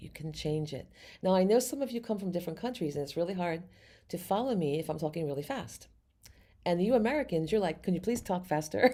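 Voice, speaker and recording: With a very clean recording and a silent background, a woman talks very fast in a dark, mellow tone. Her fairly low pitch swings very widely. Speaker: psychic medium and tarot reader. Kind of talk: tarot reading for a video audience.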